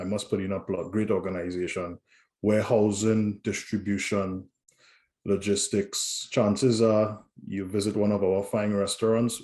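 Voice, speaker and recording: Against a quiet background, a man speaks in monotone, flat intonation at a moderate pace, with a fairly low pitch and a dark, mellow tone. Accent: Trinidadian. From Trinidad and Tobago. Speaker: corporate safety director. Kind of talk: interview.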